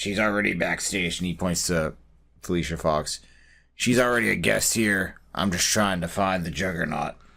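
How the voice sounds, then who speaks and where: Using a put-on character voice, a man sounds raspy with a very deep, low pitch, ordinary pitch variation and a moderate pace. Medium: actual play. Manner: blunt, curt.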